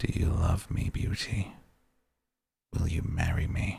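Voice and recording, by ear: Putting on a character voice, a man sounds raspy and gruff, his very deep, low pitch moving at a fairly slow pace.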